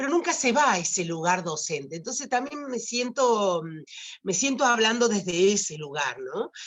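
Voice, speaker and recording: A woman speaks at a fairly high pitch, her voice swinging very widely up and down. Noticeable background noise runs underneath. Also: moderate pace. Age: 60s. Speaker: writer and retired teacher. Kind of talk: talk at online teacher training event. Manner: halting, many fillers and repetitions.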